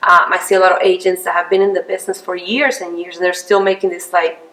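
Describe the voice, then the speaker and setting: The speaker is a woman. She has a non-native accent. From outside the US. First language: not English. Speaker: realtor. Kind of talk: interview.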